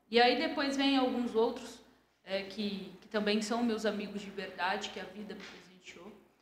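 The speech moves at a fairly slow pace amid audible room echo. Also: woman. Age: 30s. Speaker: entrepreneur. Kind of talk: interview. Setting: studio.

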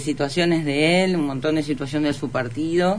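A woman's very deep, low voice at a moderate pace. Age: 50s. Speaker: political candidate. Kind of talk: radio interview.

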